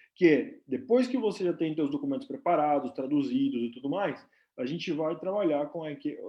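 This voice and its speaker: A man speaks with lively intonation. His voice is fairly high in pitch. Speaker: nurse and company representative. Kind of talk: live stream presentation. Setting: live stream. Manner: casual, filler-heavy.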